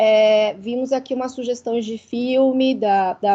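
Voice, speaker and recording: A woman with a high pitch, ordinary pitch variation and a dark, mellow tone is speaking. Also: quiet background. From Chile. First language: Spanish (speaking Portuguese). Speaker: university committee member. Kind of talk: online cine debate discussion. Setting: video call.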